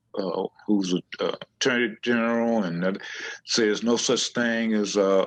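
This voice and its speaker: Speaking fairly slowly with an American accent, a man uses a fairly low pitch and ordinary pitch variation. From Houston, Texas. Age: 60s. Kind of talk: interview. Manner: halting, many fillers.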